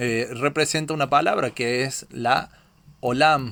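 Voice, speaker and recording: A man speaks. His pace is very slow. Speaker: Bible teacher. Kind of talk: Bible study lecture. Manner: hesitant, many fillers.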